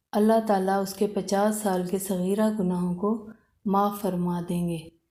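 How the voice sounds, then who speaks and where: With a dark, mellow tone and monotone, flat intonation, a woman speaks at a medium pitch. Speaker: Islamic content creator. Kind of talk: religious talk giving advice, devotional explainer.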